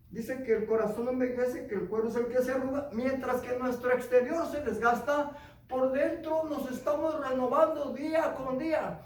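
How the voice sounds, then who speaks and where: A man with an extremely high pitch talks at a moderate pace in an animated tone, with audible room echo. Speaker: preacher. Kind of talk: sermon.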